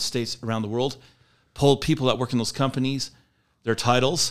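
Over a very clean recording with a silent background, a man speaks at a very fast pace with medium pitch and fairly even intonation. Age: 50s. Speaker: company employee, trainer. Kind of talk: casual interview chat.

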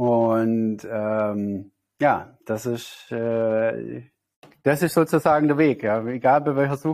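The man talks with ordinary pitch variation. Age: 30s. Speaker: spiritual healer and meditation teacher. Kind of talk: interview.

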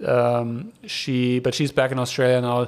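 A German accent on a very clean recording with a silent background. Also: man. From Germany. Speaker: podcast host. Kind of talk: casual monologue. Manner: casual, hesitant with many fillers.

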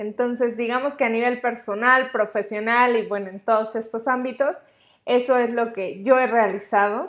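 A woman with an unremarkable speaking voice, fairly high in pitch, with ordinary pitch variation at a moderate pace. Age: 20s. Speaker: podcast host, psychologist. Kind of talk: solo podcast monologue.

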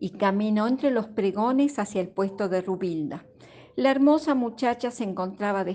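The passage is read aloud in a natural voice.

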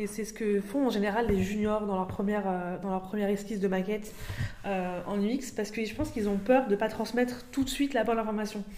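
Noticeable background noise sits behind a woman speaking at a fairly quick pace. Her pitch is fairly high, and her intonation is fairly even. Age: 20s. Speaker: UX designer. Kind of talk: casual chat.

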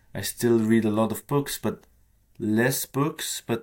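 Very slowly, a man speaks with a non-native accent and a fairly low pitch. The recording is very clean, with a silent background. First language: not English. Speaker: author. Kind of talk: interview. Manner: hesitant, many fillers.

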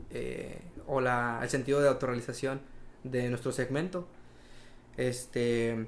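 A man's medium-pitched voice at a fairly slow pace, with fairly even intonation and long, frequent pauses. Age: 20s. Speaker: young entrepreneur, welder. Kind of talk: casual interview chat.

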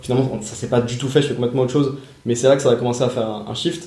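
Through audible room echo and noticeable background noise, a man speaks in a monotone, flat intonation. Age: 20s. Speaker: podcast host, young entrepreneur. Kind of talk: casual chat; scripted intro. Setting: in person, on location.

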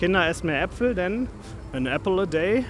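A high-pitched male voice with lively intonation at a moderate pace, over noticeable background noise. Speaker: podcast host. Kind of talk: walking vlog-style commentary. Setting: outdoors in a theme park. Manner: casual, chatty.

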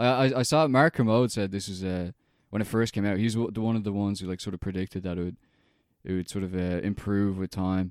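Speaking at a very fast pace with an Irish accent, a man shows ordinary pitch variation in a very clean recording with a silent background and a dry, close sound with no echo. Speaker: film podcast co-host. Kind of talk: casual chat.

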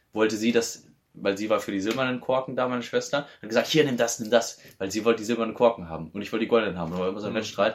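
At a very fast pace, a man speaks in a fairly low pitch with ordinary pitch variation. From Bavaria. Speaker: podcast co-host. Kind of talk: casual chat.

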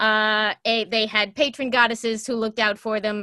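A bright, sharp tone with a dry, close sound and no echo, in a very clean recording over a silent background. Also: woman. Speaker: online pop culture host. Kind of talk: casual chat.

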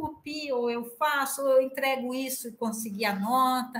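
Room echo is audible as a woman speaks at a high pitch and a moderate pace. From Piracicaba, São Paulo state, Brazil. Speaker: university professor. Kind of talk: casual chat.

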